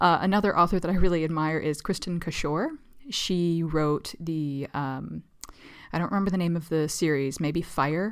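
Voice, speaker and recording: A woman with a normal speaking voice, fairly low in pitch, at a moderate pace with fairly even intonation. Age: 30s. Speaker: writer and podcast co-host. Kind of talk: casual chat.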